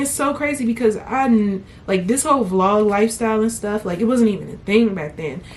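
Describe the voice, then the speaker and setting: There is noticeable background noise. Over it, a woman speaks with ordinary pitch variation. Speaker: vlogger. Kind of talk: casual vlog talk. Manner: animated.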